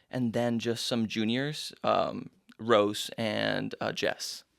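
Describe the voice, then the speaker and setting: On a very clean recording with a silent background, a man with a slight Argentine accent speaks very slowly at a medium pitch. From Argentina, Buenos Aires. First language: Spanish. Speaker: musical theatre actor. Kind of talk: interview.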